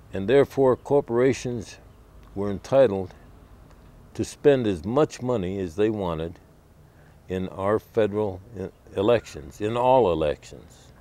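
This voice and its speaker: Fairly low-pitched male speech in an American accent, dark and mellow in tone, with lively intonation, a fairly slow pace, long, frequent pauses and a dry, close sound with no echo. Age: 60s. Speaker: activist walking across the country. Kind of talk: advocacy speech to camera.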